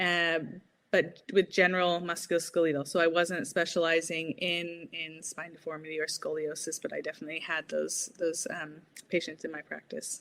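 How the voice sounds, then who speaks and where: A woman with an American accent, fairly low pitch, fairly even intonation, a moderate pace and big swings in loudness. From Southern California. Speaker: physiotherapist and researcher. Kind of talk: interview. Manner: slightly halting, repeats words.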